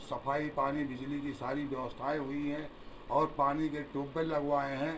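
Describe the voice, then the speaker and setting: A man with a fairly high pitch speaks in a flat, monotone way, and the room echo is easy to hear. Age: 70s. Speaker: local politician, former town council chairman. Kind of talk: press interview.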